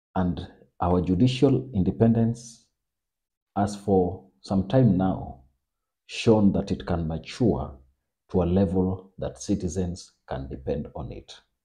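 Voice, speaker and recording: A dark, mellow voice with vocal fry moves at a very slow pace, with long, frequent pauses and big swings in loudness. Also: man, very deep, low pitch for a man. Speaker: political commentator. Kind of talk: political analysis monologue.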